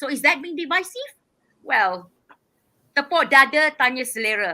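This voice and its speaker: A woman speaks at a moderate pace in a raised, projected voice that is high-pitched with a bright, sharp tone, lively intonation and big swings in loudness. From Malaysia. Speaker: activist and independent political candidate. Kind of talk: interview. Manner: forceful.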